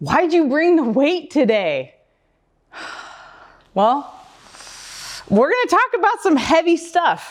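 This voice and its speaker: A woman's extremely high voice with an American accent, fairly slow, with very wide pitch swings, very even loudness and long, frequent pauses. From Oregon, USA. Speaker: community advocate, public speaker. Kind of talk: live stage talk. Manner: light-hearted, gently humorous.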